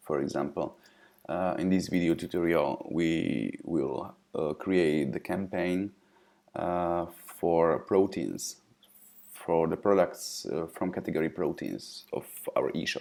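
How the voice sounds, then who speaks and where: A man with a non-native accent, at a very slow pace. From Eastern Europe. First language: non-English Eastern European language. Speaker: software company representative. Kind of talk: software tutorial. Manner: hesitant, frequent fillers.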